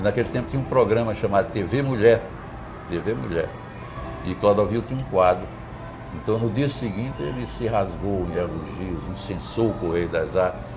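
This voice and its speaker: A man with a fairly low voice speaks at a moderate pace, his intonation lively, with long, frequent pauses. The room echoes audibly, and background noise is noticeable. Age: 70s. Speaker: poet and retired literature professor. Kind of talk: interview. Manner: hesitant, repeats words.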